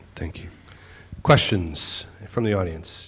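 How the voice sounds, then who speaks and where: With an American accent and ordinary pitch variation, a man talks against audible room echo. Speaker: moderator. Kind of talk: panel discussion. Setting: stage with audience.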